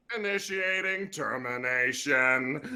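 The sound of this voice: A man puts on a character voice at a fairly high pitch. He talks at a fairly slow pace against light background noise.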